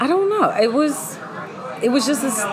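A woman with an American accent speaks with lively intonation. There is audible room echo and noticeable background noise. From Pittsburgh, Pennsylvania. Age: 30s. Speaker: radio host and transformational coach. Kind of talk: casual interview about faith.

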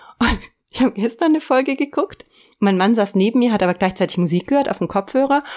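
A woman with a fairly high pitch and lively intonation speaks very fast in a very clean recording with a silent background. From Eifel, western Germany. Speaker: intro voice of the show. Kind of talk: casual chat.

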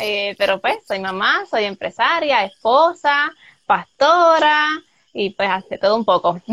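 Very slowly, a woman speaks in a bright, sharp, fairly high voice whose pitch swings very widely. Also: dry, close sound with no echo. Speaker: soap maker and entrepreneur. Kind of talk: interview.

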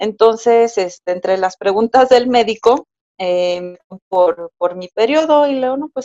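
In a Mexico City accent, a woman with a fairly high pitch and a dark, mellow tone talks at a fairly slow pace with ordinary pitch variation, the sound dry and close with no echo. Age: 30s. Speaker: first-time mother telling birth story. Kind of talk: personal testimony in interview.

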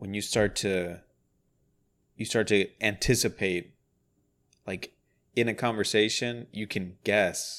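Recorded very cleanly against a silent background, a man talks at a very slow pace with long, frequent pauses and a flat, monotone delivery. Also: fairly low pitch for a man. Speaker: podcast co-host. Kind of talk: casual chat.

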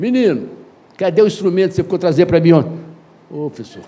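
A man talks at a very fast pace with a high pitch. His tone is animated, and his pitch varies in an ordinary way. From Brazil. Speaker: educator and anthropologist. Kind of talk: interview storytelling.

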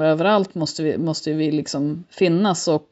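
A very deep, low-pitched woman's voice with ordinary pitch variation. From Sweden, Mullsjö (Småland). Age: 40s. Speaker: local politician, former teacher. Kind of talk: interview.

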